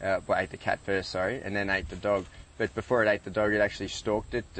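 A man's fairly low voice in a flat monotone, with a dry sound and no echo. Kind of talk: interview answer. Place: street. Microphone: lapel.

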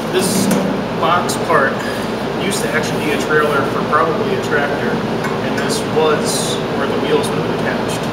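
A man speaks at a moderate pace with long, frequent pauses. Loud background noise runs underneath. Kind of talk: casual project walkthrough. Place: workshop.

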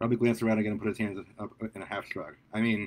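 Just a natural reading voice

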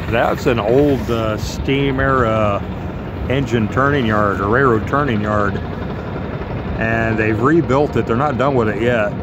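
A man speaks at a fairly slow pace with ordinary pitch variation. The sound is dry with no echo, and background noise is noticeable. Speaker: travel vlogger. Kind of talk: casual vlog chat. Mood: wry, amused. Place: street. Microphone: phone near.

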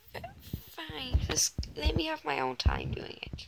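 A woman puts on a character voice with a high pitch, vocal fry and a slightly mellow tone. She talks at a fairly slow pace with very wide pitch swings.

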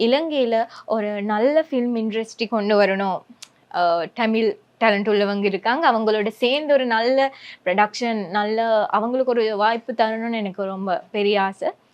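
A woman speaks at a fairly high pitch in a Sri Lankan accent. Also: ordinary pitch variation. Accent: Sinhala-accented Sri Lankan Tamil. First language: Sinhala (speaking Tamil). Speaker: social media influencer. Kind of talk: interview.

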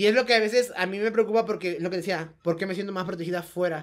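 Talking at a very fast pace, a woman uses a medium pitch with ordinary pitch variation. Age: 30s. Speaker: professional wrestler. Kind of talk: casual chat.

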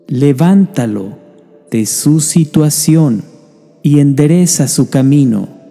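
Music plays in the background as a man speaks in a solemn tone at a fairly high pitch. He goes at a very slow pace with ordinary pitch variation. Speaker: prayer narrator. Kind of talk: prayer reading, devotional narration. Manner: slow, solemn, pleading.

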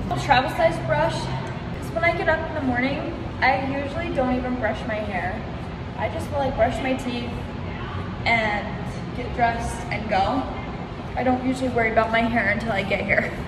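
Over loud background noise, a woman speaks at a moderate pace, leaving long, frequent pauses. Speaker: fitness vlogger. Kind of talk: casual vlog chat. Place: gym. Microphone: phone near.

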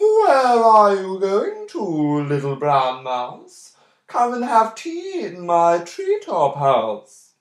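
This put-on character voice sits at a middle pitch. It moves at a very slow pace. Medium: read story.

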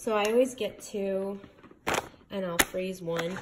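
Loud background noise accompanies a woman's voice. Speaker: home vlogger. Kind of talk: casual grocery haul chat. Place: kitchen. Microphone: phone near.

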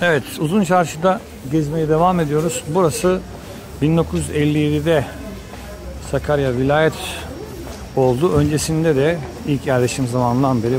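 Against noticeable background noise, a man talks fairly slowly with ordinary pitch variation. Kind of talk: walking tour commentary. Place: market. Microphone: phone near.

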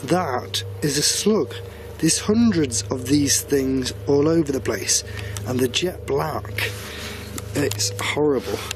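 Over music in the background, a man's pitch swings very widely, the sound dry with no echo. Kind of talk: casual vlog chat. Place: open country. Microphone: phone near.

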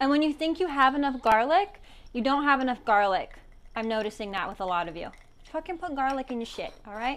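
The voice moves at a fairly quick pace with an animated tone and very wide pitch swings. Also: woman, high pitch for a woman. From New Mexico. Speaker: comedian and cooking show host. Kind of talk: casual storytelling while cooking.

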